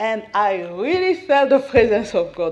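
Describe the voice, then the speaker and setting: The speaker has a Central African accent. The pace is moderate. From Democratic Republic of the Congo. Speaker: missionary's wife giving testimony. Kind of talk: testimony. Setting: church, at the podium.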